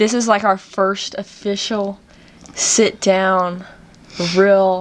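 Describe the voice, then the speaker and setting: The speaker talks very slowly in a Southern US accent. The recording is very clean with a silent background. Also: woman. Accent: Southern US country twang. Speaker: podcast host. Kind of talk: casual podcast conversation.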